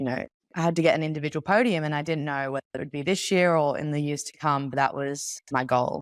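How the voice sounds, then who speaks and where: On a very clean recording with a silent background and a dry, close sound with no echo, a woman with an Australian accent talks at a very fast pace in a very deep, low pitch. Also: ordinary pitch variation. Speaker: Olympic open water swimmer. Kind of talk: interview.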